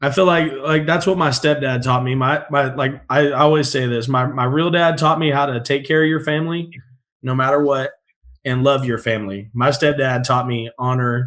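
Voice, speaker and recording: Here a man speaks with an American accent at a moderate pace. His pitch is fairly high and his intonation fairly even. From Northern California. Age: 30s. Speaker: podcast guest. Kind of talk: casual chat.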